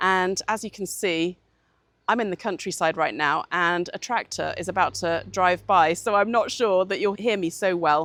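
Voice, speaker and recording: In a very clean recording with a silent background, someone with a British accent speaks at a moderate pace with fairly even intonation. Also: woman, medium pitch for a woman. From United Kingdom. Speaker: communications coach. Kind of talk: channel introduction. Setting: outdoors in the countryside.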